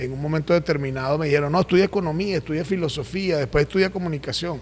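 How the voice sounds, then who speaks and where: His pitch moves in an ordinary way. The man's delivery is very fast. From Venezuela, Caracas (El Valle / Coche). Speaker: journalist. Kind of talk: interview. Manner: colloquial, sing-song tone.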